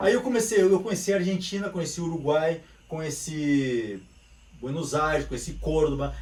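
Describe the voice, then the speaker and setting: With an animated tone and lively intonation, a man talks at a moderate pace. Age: 50s. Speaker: capoeira teacher. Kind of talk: casual chat.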